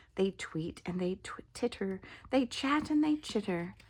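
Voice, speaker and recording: Somewhat breathy with a dark, mellow tone, the voice swings very widely in pitch on a very clean recording with a silent background. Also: woman. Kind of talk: children's picture book read-aloud.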